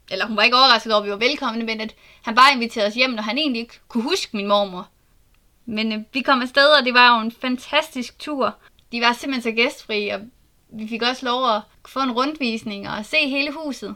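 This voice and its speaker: A woman's fairly high, bright and sharp voice at a fairly quick pace, with ordinary pitch variation. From Southern Jutland, Denmark. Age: 20s. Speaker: podcast host and genealogist. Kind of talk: solo podcast monologue.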